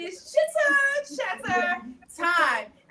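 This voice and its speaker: In a Southern US accent, a woman speaks with a raised, projected voice at an extremely high pitch. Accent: Southern country twang. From US South, Atlanta. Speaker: talk show host. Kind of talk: live-stream panel chat. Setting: live stream. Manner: animated.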